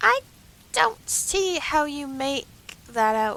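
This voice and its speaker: A put-on character voice drags along at an extremely slow speed. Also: woman, high pitch for a woman. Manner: disappointed, surprised.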